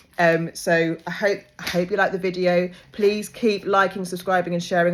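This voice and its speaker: A woman talks at a fairly quick pace with a fairly low pitch and monotone, flat intonation, on a very clean recording with a silent background. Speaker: life coach. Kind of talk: monologue. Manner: fast.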